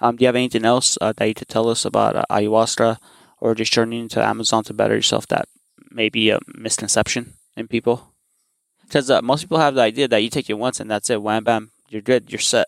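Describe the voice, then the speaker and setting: A man talks at a very fast pace with vocal fry and fairly even intonation, the sound dry and close with no echo. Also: medium pitch for a man. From Armenia. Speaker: podcast host. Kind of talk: interview.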